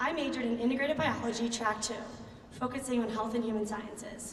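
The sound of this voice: A woman in a Philadelphia accent, fairly high-pitched with ordinary pitch variation, at a fairly quick pace, with audible room echo. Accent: Philadelphia American.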